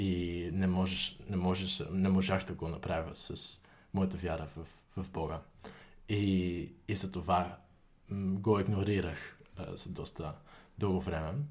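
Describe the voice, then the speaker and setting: With a Dutch accent, a man speaks in a very deep, low, monotone and flat voice at a fairly slow pace, leaving long, frequent pauses amid audible room echo. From Netherlands, Utrecht. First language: Dutch (speaking Bulgarian). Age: 20s. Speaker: university student. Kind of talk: interview. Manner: halting.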